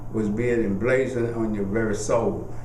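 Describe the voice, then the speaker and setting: Amid noticeable background noise and audible room echo, a man speaks at a moderate pace in a medium pitch. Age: 70s. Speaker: oral history interviewee, lawyer. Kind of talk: oral history interview. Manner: reflective, earnest storytelling.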